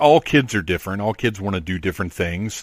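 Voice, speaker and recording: A plain, everyday voice speaks at a moderate pace with lively intonation. The recording is very clean and silent behind it, with a dry, close sound and no echo. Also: man. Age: 40s. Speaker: podcast host. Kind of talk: interview.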